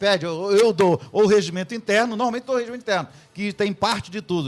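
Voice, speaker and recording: With a high voice for a man, he speaks in a lively, up-and-down intonation. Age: 60s. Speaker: pastor. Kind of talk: radio debate. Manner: halting.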